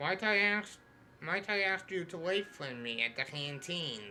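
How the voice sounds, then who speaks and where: Over clear background noise, a man performs a put-on character voice with lively intonation at a fairly slow pace. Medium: game stream. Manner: reads on-screen text aloud.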